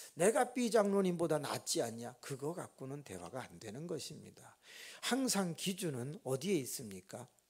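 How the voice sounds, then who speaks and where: His voice is fairly high for a man, with very wide pitch swings and big swings in loudness. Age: 60s. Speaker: pastor. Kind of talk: sermon. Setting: church. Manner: slow.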